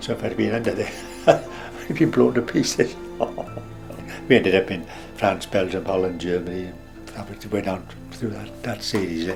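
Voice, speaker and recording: Over background music, a man speaks at a moderate pace with a very deep, low pitch and lively intonation. He leaves long, frequent pauses. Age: 80s+. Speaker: war veteran. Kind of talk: interview answer.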